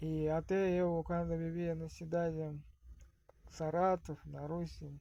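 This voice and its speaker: A man is speaking. His pace is very slow. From Russia. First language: Russian (speaking Portuguese). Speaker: vlogger. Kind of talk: casual monologue. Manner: halting.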